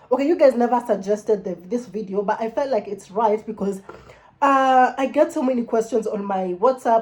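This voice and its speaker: Animated tone from a woman with a Kenyan accent, with ordinary pitch variation. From Kenya, Nairobi (Langata). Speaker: YouTuber. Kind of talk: casual vlog chat. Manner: fast.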